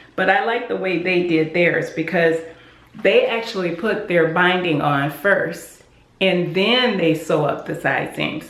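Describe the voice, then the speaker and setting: A woman's animated, fairly slow voice with ordinary pitch variation, noticeable background noise and audible room echo. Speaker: sewing YouTuber. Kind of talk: casual tutorial talk.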